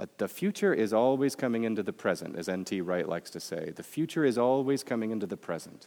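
A man in a Midwestern American accent at a very fast pace, medium in pitch with very wide pitch swings and a dark, mellow tone. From US Midwest. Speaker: professor. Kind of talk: sermon. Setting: chapel with audience.

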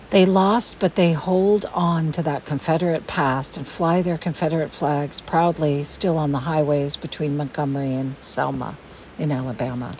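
Over noticeable background noise, a woman with an American accent speaks at a moderate pace in a very deep, low pitch with ordinary pitch variation. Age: 50s. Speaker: podcast host. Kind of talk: scripted narration. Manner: formal.

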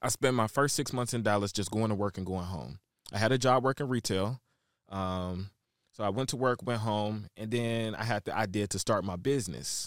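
An unremarkable speaking voice with an American accent moves at a moderate pace with ordinary pitch variation, on a very clean, dry, close recording with a silent background and no echo. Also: man, fairly low pitch for a man. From Shreveport, Louisiana (and Chicago). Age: 20s. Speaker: celebrity stylist and brand curator. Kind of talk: interview.

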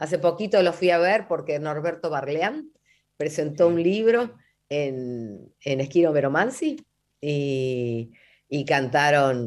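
A woman with a very deep, low pitch speaks very slowly, her intonation lively. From Buenos Aires, Argentina. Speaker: folk singer. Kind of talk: radio interview. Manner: halting.

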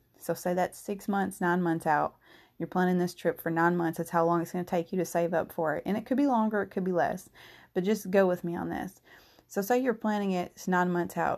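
A fairly quick woman's voice at medium pitch with fairly even intonation, on a very clean recording with a silent background. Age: 30s. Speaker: solo podcaster, self-employed. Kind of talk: casual monologue. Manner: rambling, conversational.

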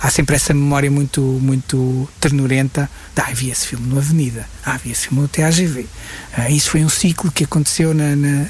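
Noticeable background noise sits behind the speech. The pace is moderate and the intonation monotone and flat. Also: man. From northern Portugal, Guimarães. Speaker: film director. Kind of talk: interview. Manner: halting, many repetitions.

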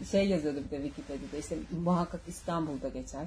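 A woman speaks at a fairly quick pace, her voice somewhat breathy with a dark, mellow tone. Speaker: podcast host. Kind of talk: casual chat. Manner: animated.

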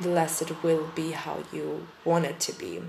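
A woman with a fairly low pitch speaks in a German accent, with audible room echo around her voice. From Germany. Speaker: podcast host. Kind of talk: casual monologue. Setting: empty packed-up room. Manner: hesitant.

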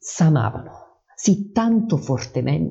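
Somewhat breathy and dark, mellow in tone, a man's voice carries his speech. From Salerno, southern Italy. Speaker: amateur poet and podcaster. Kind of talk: poetry reading, read aloud in archaic verse. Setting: home recording, poor audio, background noise. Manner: emotional, slightly nervous.

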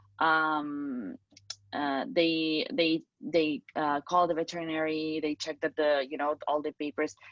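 With a Spanish accent, a woman speaks at a very slow pace. Her pitch is very deep and low, with ordinary pitch variation. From Spain. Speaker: singer and pet owner. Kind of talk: interview testimony. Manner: halting, many fillers.

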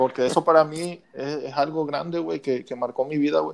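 The man speaks with a fairly high pitch. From Mexico, Lerdo, Durango. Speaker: podcast guest, childhood friend. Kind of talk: casual chat.

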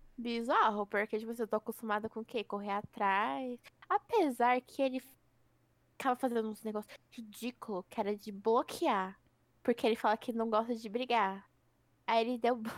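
A woman speaks at a moderate pace with fairly even intonation and long, frequent pauses. The sound is dry and close, with no echo. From Brazil, Osasco (São Paulo area). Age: 20s. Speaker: podcast co-host. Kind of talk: casual chat. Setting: home recording, not a studio.

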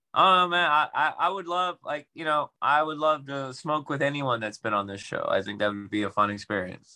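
A man speaks in an ordinary speaking voice, pitched fairly high, at a moderate pace. His intonation is lively and he hardly pauses at all. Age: 30s. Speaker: podcast host. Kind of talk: casual chat.

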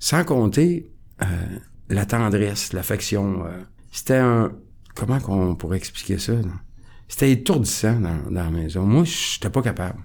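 Speaking fairly slowly with long, frequent pauses, a man uses a fairly low pitch and lively intonation. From Quebec, near Quebec City. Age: 60s. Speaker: recovering alcoholic sharing his story. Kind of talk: testimony. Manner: calm, composed.

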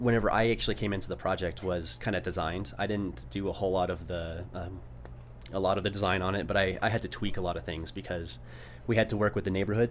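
Very deep and low with vocal fry, a man's voice rushes at a very fast pace. His intonation is lively. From New Mexico. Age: 30s. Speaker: architect. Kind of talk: casual chat. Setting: live stream studio.

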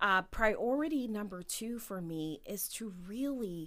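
A woman with a Midwestern American accent and lively intonation, on a very clean recording with a silent background. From Ohio, Canton. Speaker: judge. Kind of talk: interview.

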